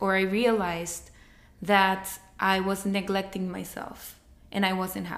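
Woman with a Spanish accent, medium pitch, fairly slow pace. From Mexico, Monterrey. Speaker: podcast co-host. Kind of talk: casual chat. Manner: halting.

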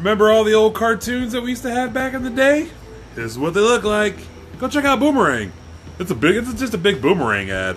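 This man talks very fast in a high pitch, with lively intonation. Noticeable background noise runs under his voice. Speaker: podcast co-host. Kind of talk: casual chat. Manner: loud; animated.

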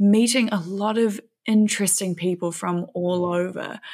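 A woman with a New Zealand accent and ordinary pitch variation, on a very clean recording with a silent background. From New Zealand, West Auckland. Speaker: filmmaker and thru-hiker. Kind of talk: interview conversation.

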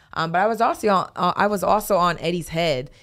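A woman with an unremarkable speaking voice and a fairly low pitch shows ordinary pitch variation in a very clean recording with a silent background. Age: 20s. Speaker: boxer. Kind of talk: casual chat. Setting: studio.

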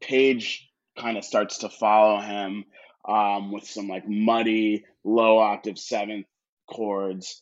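Very slowly and with monotone, flat intonation, a man with an American accent speaks at a fairly low pitch, his loudness swinging widely. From Connecticut, US. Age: 30s. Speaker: music publicist and arts education director. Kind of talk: casual chat. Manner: frequent fillers and hesitations.

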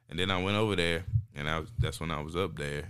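Audible room echo surrounds this recording. In it, a man talks at a fairly quick pace. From North Carolina, Zebulon area. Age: 20s. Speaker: comedian. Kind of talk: casual chat.

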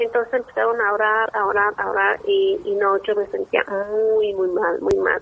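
Over noticeable background noise, the speech moves at a fairly slow pace with hardly any pauses and very even loudness. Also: woman. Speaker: caller telling a paranormal story. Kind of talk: personal testimony.

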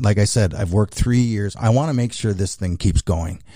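A man talks in a somewhat breathy, dark, mellow tone with ordinary pitch variation. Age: 60s. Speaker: racing series founder. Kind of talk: interview. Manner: halting.

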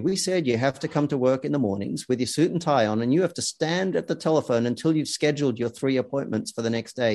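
The voice has a dark, mellow tone. It belongs to a man with an Australian accent. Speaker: sales consultancy founder and author. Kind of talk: casual interview.

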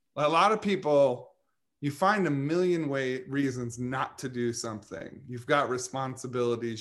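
A male voice, an unremarkable speaking voice, at medium pitch with ordinary pitch variation and a moderate pace. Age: 40s. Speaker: nursing student. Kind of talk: casual chat.

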